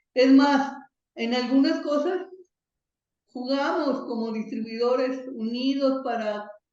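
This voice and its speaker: Audible room echo surrounds a woman's high-pitched voice. She speaks at a very slow pace. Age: 60s. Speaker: software distributor, computing pioneer. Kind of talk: interview.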